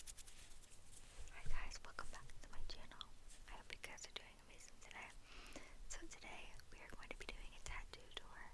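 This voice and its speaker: A woman whispering at a moderate pace, with big swings in loudness. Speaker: ASMR creator. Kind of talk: ASMR whispered talk to camera. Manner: whispered.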